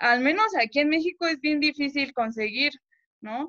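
Ordinary pitch variation comes through in a dry recording with no echo and a quiet background. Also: woman. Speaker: fan, viewer; guest. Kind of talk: casual chat. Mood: cheerful, smiling. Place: home room. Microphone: video call.

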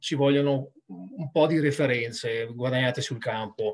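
Over a quiet background, a man speaks at a fairly slow pace with a fairly high pitch and ordinary pitch variation. He has a plain, everyday voice. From Treviso, Italy; Italy. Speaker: rugby sports director, former player; guest. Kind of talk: casual interview. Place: home room. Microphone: video call.

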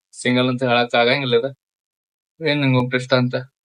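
The intonation stays monotone and flat. A man delivers it at a medium pitch. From Chikkodi, Belagavi district, north Karnataka. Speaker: social media content creator. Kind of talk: casual Q&A with viewers.

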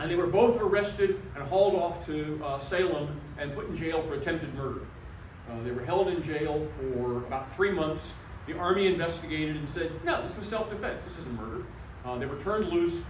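With audible room echo and light background noise, a man speaks at a fairly quick pace with ordinary pitch variation. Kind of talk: public history talk. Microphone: camera far.

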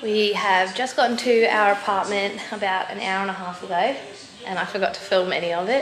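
A woman's voice at a fairly quick pace, with ordinary pitch variation, audible room echo and light background noise. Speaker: athlete vlogger. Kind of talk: casual vlog chat. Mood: reflective, relaxed. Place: home room. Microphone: phone near.

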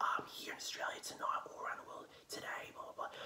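A soft-spoken man whispers in a room with audible echo. Light background noise is present. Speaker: home food vlogger. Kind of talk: casual vlog chat. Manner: soft ASMR whisper to camera. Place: home room. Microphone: phone near.

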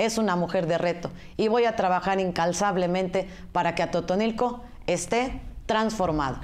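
Her pitch sits at a medium level with ordinary pitch variation, and she has a plain, everyday voice. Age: 40s. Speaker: political candidate. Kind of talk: campaign interview.

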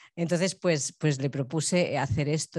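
A woman's fairly low-pitched voice in a Spanish accent, against a quiet background. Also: dry sound with no echo. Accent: Peninsular Spanish. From Spain. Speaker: choreographer and bookseller. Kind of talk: Q&A after a performance. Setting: university auditorium with audience. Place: stage. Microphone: handheld.

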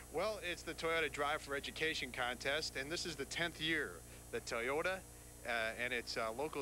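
Over light background noise, a man talks at a fairly quick pace with vocal fry, a bright, sharp tone and ordinary pitch variation, the sound dry with no echo. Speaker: TV studio anchor. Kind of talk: news and sports anchoring. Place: stadium. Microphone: handheld.

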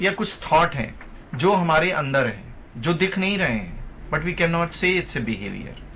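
Over light background noise, a man with a high pitch speaks at a fairly slow pace. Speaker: guest. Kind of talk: interview answer. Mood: calm explanatory. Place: studio.

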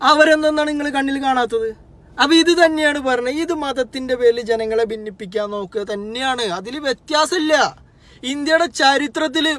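The man's voice is extremely high-pitched with ordinary pitch variation, recorded as a dry sound with no echo. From Kerala. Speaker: social media commentator. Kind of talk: political monologue to camera. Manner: animated. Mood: angry protest. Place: car. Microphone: phone near.

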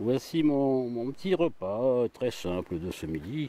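A man speaks at a very slow pace, his voice dry with no echo. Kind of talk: casual vlog narration. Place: forest. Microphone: phone near.

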